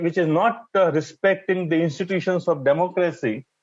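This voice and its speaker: Moderate pace and a high pitch for a man. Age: 60s. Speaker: public health expert. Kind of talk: panel discussion. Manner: halting; animated.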